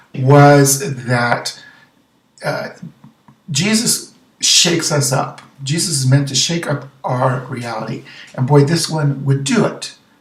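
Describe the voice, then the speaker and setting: A man speaks at a fairly high pitch, leaving long, frequent pauses. The room echo is audible. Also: ordinary pitch variation. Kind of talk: gospel reflection video. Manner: fast; animated.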